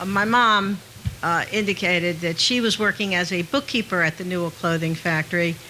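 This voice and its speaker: Noticeable background noise sits behind a woman with a New Jersey accent. Her pitch is medium, with ordinary variation, at a moderate pace. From New Jersey, Hamilton. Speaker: audience speaker. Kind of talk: public talk. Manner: halting.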